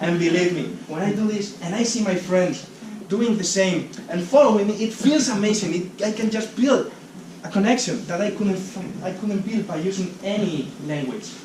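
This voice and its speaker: Amid noticeable background noise and audible room echo, a man with a Spanish accent speaks at a moderate pace, his high pitch showing ordinary pitch variation. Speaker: speaker at a talk event. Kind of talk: public talk. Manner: halting.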